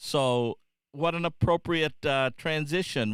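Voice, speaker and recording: Using ordinary pitch variation, a man with an American accent speaks at a very slow pace. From US Midwest, Illinois. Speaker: show host and musician. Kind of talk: casual livestream talk. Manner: halting, many fillers.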